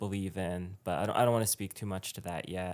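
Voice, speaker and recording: A man with a fairly low voice and an American accent speaks on a very clean recording with a silent background. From Richmond, Virginia, US South. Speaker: artist. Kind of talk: casual chat. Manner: animated.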